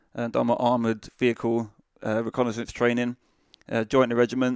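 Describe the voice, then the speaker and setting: A man with a British accent, medium pitch and monotone, flat intonation at a fairly quick pace, dry and close with no echo on a very clean recording with a silent background. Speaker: army veteran and charity founder. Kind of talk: casual interview.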